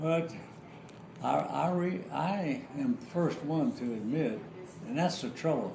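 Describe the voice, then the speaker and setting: In an American accent, a man with a fairly high pitch talks at a fairly slow pace with very wide pitch swings, long, frequent pauses and audible room echo. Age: 80s+. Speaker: war veteran. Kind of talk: casual chat; storytelling. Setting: family home. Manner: halting.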